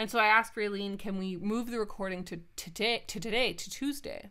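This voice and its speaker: A woman with a Canadian accent speaks at a moderate pace, her pitch fairly high. She has a plain, everyday voice. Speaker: podcast host. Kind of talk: casual chat. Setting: remote audio-only recording.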